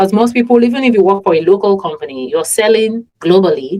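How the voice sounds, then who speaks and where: A woman with a Yoruba accent. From Nigeria. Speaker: podcast host. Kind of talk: casual interview conversation.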